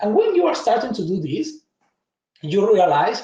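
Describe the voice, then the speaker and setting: A high-pitched man's voice with a dark, mellow tone and a strong Argentine accent. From Argentina. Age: 40s. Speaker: tech conference speaker. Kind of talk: conference talk.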